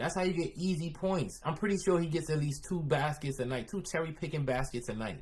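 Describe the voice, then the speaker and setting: Speaking with a New York accent, a man with a fairly high pitch and vocal fry talks at a fairly quick pace in an animated tone with lively intonation. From Philadelphia. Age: 30s. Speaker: streamer reacting to videos. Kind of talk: live stream reaction commentary.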